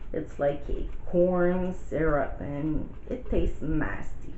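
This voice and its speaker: A woman with a French Canadian accent, at a very slow pace. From Quebec, Canada. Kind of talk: casual talk to camera.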